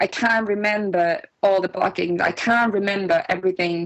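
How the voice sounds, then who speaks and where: A woman speaks at a moderate pace with a Finnish accent. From Finland. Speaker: music producer and composer. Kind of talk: interview. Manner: halting, with fillers and restarts.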